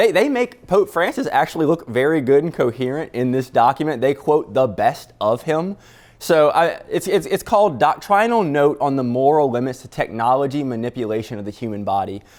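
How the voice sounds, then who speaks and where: A man with a slight Louisiana accent speaks at a fairly quick pace with hardly any pauses. His fairly high voice swings very widely in pitch. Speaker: news producer. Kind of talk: casual chat.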